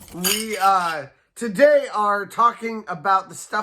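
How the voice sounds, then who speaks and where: A man's bright, sharp voice with lively intonation, on a very clean recording with a silent background. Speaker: theme park vlogger. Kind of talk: casual vlog commentary. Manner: loud; hesitant, many fillers.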